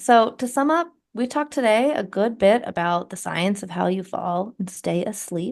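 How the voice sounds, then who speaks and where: Doing a croaky, put-on character voice, a woman speaks at medium pitch and a moderate pace with lively intonation. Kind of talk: presenting, wrapping up a session.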